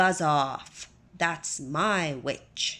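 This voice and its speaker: A put-on character voice at middle pitch, shrill, croaky and growling, on a very clean recording with a silent background. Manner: gruff, menacing.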